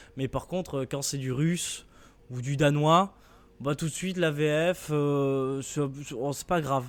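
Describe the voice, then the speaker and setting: A man speaks at a fairly slow pace. His pitch sits fairly high, and his intonation stays fairly even. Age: 20s. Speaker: podcast host. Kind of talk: casual debate. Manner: halting.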